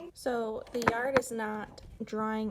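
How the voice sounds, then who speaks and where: A woman's fairly high, monotone voice with flat intonation over noticeable background noise. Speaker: lifestyle vlogger and mom. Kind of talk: casual vlog narration.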